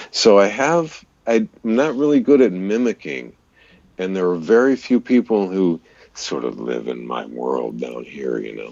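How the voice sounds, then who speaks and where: A man with an American accent has a very deep, low pitch and speaks at a fairly slow pace. His pitch swings very widely and his loudness varies greatly. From US Southwest (California, rural Arizona, Missouri). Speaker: voice-over artist and radio DJ. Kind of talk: casual chat. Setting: live stream video call.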